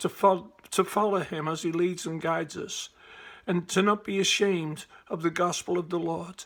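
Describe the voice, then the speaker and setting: A man with a high pitch and a Liverpool accent, fairly even intonation and a moderate pace. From Liverpool, England. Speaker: evangelist. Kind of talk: personal testimony to camera. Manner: casual, conversational.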